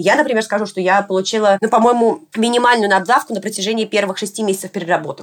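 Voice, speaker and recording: A woman talks at a very fast pace with hardly any pauses and ordinary pitch variation. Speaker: vaccine researcher. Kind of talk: interview.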